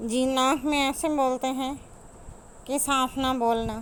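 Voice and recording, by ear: A woman mumbles in a put-on character voice, high-pitched and nasal, at a fairly slow pace. Her intonation is monotone and flat, and her loudness stays very even.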